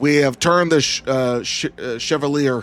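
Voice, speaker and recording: Music plays in the background. A man speaks at a medium pitch with ordinary pitch variation. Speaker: gaming streamer. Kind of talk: live gameplay commentary. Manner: animated.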